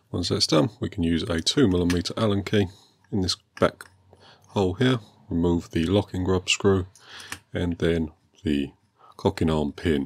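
A man's very deep, low voice with ordinary pitch variation, a moderate pace and long, frequent pauses. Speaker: airgun hobbyist. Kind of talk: tutorial narration. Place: workshop.

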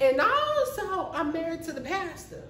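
In a put-on character voice, a man speaks at an extremely high pitch with big pitch swings and a bright, sharp tone. He keeps a moderate pace, and audible room echo surrounds him.

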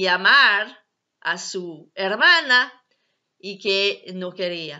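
Over a quiet background, a woman's fairly high voice carries lively intonation. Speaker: ex-Jehovah's Witness video blogger. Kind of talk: personal testimony vlog. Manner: halting, non-native phrasing. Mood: earnest, calm. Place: home room. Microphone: webcam.

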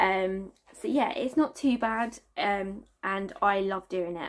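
Against a quiet background, a woman speaks with a Southern English accent and ordinary pitch variation. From South East England. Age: 20s. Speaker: family vlogger. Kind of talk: casual talk to camera. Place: home room.

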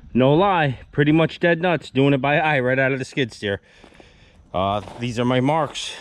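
A man's lively intonation comes through in a dry sound with no echo. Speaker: excavation contractor. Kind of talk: tutorial commentary. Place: open country. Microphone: phone near.

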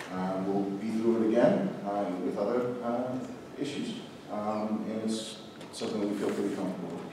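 Strong room echo and noticeable background noise surround a man's fairly low voice moving at a moderate pace. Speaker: city official answering council. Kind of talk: interview answer. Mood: calm, measured, reassuring. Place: hall.

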